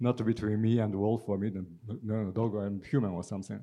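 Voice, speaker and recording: A man speaks with a Japanese accent. His voice is fairly low-pitched, with a dark, mellow tone. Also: quiet background. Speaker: poet, translator and literature professor. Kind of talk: panel discussion and poetry reading. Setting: stage with audience.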